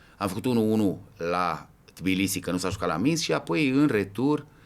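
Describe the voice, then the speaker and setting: Recorded very cleanly against a silent background, a man with a normal speaking voice uses lively intonation and a moderate pace. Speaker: football ultras veteran. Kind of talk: podcast interview.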